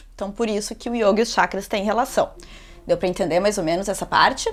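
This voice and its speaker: With ordinary pitch variation, this is an ordinary speaking voice. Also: woman. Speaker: yoga teacher. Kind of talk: yoga class instruction. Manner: casual, chatty.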